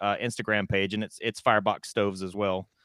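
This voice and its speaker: With a Southern US accent, the words come at a fairly quick pace. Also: man. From US South, North Carolina. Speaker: podcast co-host. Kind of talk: casual chat.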